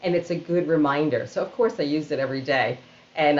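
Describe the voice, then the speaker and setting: In a New York accent, a woman talks with ordinary pitch variation over noticeable background noise. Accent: New York City. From Queens, New York City. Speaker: organizational storyteller and keynote speaker. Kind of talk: interview answer.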